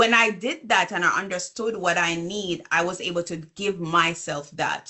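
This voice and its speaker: A woman with a Jamaican accent, fairly low in pitch, with ordinary pitch variation, at a moderate pace. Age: 40s. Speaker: business coach and consultant. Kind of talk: interview conversation.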